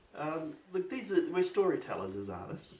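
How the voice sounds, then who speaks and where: Lively intonation in an Australian accent at a moderate pace. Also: man. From Australia, Ballarat, Victoria. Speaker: painter. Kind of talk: interview. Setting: studio. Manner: halting.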